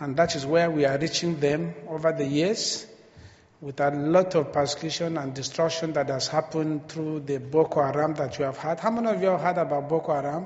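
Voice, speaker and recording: Amid noticeable background noise and audible room echo, a man with a Nigerian accent speaks with fairly even intonation. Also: fairly high pitch for a man. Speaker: missionary preacher. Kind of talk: sermon. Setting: church. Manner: slow.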